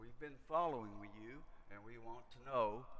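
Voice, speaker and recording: A man's voice with ordinary pitch variation in audible room echo. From US South, rural Kentucky. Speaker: missionary preacher. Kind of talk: sermon. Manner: halting.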